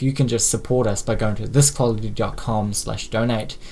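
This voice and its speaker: Speaking in a New Zealand accent, a man holds a medium pitch with monotone, flat intonation. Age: 20s. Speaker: media company founder. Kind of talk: live stream talk. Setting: live stream at home with blurred background. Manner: halting, many fillers.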